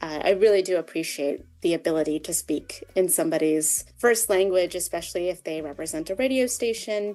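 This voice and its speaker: A woman with a Canadian accent at a fairly quick pace with hardly any pauses, music in the background. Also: fairly low pitch for a woman, ordinary pitch variation. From Ottawa, Canada. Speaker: community radio program officer. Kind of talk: interview. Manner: casual.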